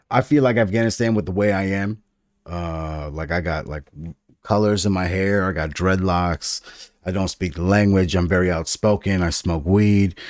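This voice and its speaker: In a very clean recording with a silent background, a man talks at a moderate pace with a very deep, low pitch and ordinary pitch variation. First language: Farsi (Dari). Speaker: podcast co-host. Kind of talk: casual chat. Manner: animated.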